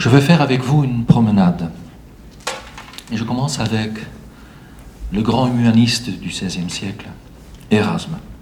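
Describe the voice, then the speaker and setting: A man with a Flemish accent and a medium pitch speaks at a moderate pace with ordinary pitch variation and long, frequent pauses, over noticeable background noise and audible room echo. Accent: Flemish Belgian accent in French. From Flanders, Belgium. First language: Dutch (speaking French). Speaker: writer and publisher. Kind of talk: reading from prepared text. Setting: heritage hall with audience.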